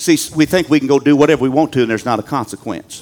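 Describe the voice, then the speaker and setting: Lively intonation marks a man's fairly high voice, delivered with a Southern US accent. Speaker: pastor. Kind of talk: sermon. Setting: church.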